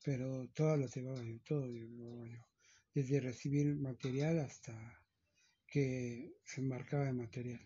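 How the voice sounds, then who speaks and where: Somewhat breathy and fairly slow, a man talks in a monotone, flat intonation. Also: medium pitch for a man, big swings in loudness. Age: 50s. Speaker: chauffeur. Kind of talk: interview. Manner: halting, many repetitions.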